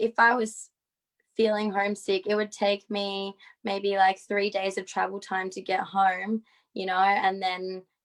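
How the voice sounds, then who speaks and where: In an Australian accent, a woman speaks at a medium pitch with monotone, flat intonation. The sound is dry and close with no echo, on a very clean recording with a silent background. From Australia, Perth. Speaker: synchronized skater. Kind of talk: casual talk on a video stream.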